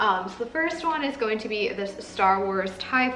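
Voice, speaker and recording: A woman is talking. Noticeable background noise and audible room echo are present. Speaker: Disney pin collector vlogger. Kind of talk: casual haul video. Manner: fast.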